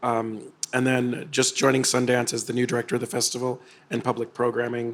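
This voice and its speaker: At a fairly quick pace, a man delivers his lines in a medium pitch with monotone, flat intonation. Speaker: film festival director. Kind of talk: interview conversation. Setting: on location at a festival.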